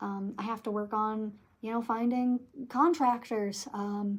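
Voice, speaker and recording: Somewhat breathy and fairly high in pitch, a woman speaks fairly slowly in an American accent with fairly even intonation. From Michigan, USA. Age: 20s. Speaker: tarot reader. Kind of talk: casual talk to camera.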